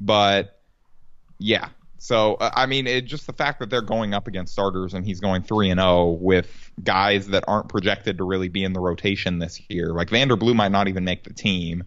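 In a plain, everyday voice, a man speaks at a fairly low pitch and moderate pace with fairly even intonation. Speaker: sports podcast co-host. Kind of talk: casual sports podcast chat. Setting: home recording, dog barking.

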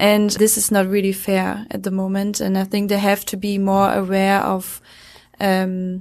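A woman with a German accent speaks at a moderate pace and medium pitch. Her intonation is monotone and flat, and the background is quiet. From Germany. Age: 20s. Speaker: horse training student. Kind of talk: casual interview. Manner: halting.

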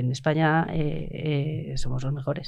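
Here a woman speaks with a very deep, low pitch. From Bilbao, Spain. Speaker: university professor. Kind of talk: casual chat.

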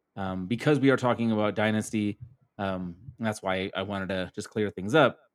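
This very clean recording, with a silent background and a dry, close sound with no echo, has a man using an ordinary speaking voice, his fairly low pitch held in fairly even intonation. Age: 40s. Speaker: fantasy football writer. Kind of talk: casual chat.

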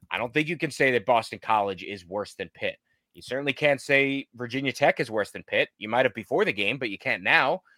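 Over a silent background in a very clean recording, a man with a medium pitch speaks at a fairly quick pace in a bright, sharp tone, with lively intonation and big swings in loudness. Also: dry, close sound with no echo. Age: 30s. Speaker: sports podcast host. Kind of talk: casual chat.

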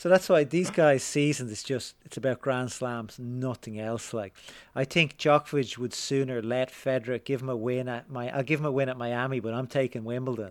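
With an Irish accent, the speaker moves at a moderate pace with hardly any pauses. The intonation stays fairly even. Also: man, medium pitch for a man. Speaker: tennis writer and podcaster. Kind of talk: casual interview conversation. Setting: remote call.

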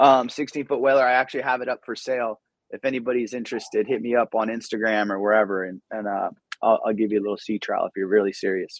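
A man's medium-pitched voice at a very fast pace, in a Southern Californian accent. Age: 40s. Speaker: comedian. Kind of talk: casual chat. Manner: animated.

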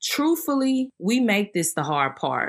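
On a very clean recording with a silent background, a woman with a Southern US accent speaks at a fairly slow pace with very wide pitch swings. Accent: Southern US, country twang. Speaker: faith podcast host. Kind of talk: devotional teaching monologue. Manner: not a loud hoop-and-holler preacher.

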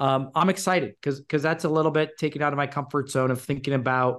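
A man's fairly high-pitched, a normal speaking voice, fairly quick and fairly even in intonation, over a quiet background. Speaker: soccer club executive and former player. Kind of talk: casual interview.

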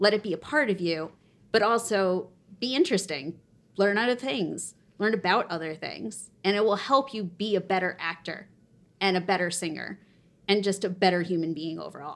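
A woman with a plain, everyday voice, medium pitch, ordinary pitch variation and moderate pace. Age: 30s. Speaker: performer and concert series creator. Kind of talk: casual interview.

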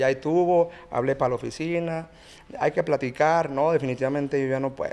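A man with a fairly high voice talks at a fairly quick pace in a monotone, flat way, leaving long, frequent pauses. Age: 30s. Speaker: regional Mexican band singer. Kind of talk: casual chat.

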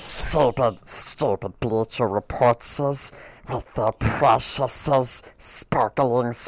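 A put-on character voice sits at a low-to-middle pitch. The pace is very slow.

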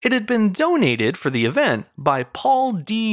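Recorded very cleanly over a silent background, a man speaks in a high pitch with very wide pitch swings. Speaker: podcast host. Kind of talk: history documentary narration. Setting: studio. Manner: measured, even, formal storytelling.

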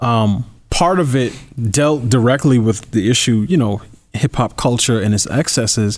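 With an ordinary speaking voice, a man at medium pitch talks at a moderate pace with very even loudness and ordinary pitch variation on a very clean recording with a silent background. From New York. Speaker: political commentator. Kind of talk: interview.

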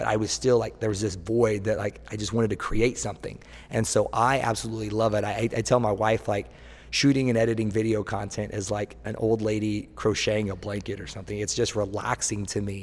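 A man speaks at a fairly quick pace with an American accent. His pitch is fairly low, and the recording is very clean with a silent background. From Oklahoma, Tulsa. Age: 30s. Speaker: personal trainer. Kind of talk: interview. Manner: enthusiastic.

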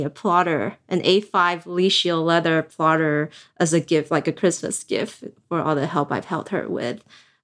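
A woman with a Chinese accent speaks in a fairly low pitch with fairly even intonation, on a very clean recording with a silent background. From East Asia, Chinese-speaking. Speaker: stationery creator and industry employee. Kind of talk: casual interview chat.

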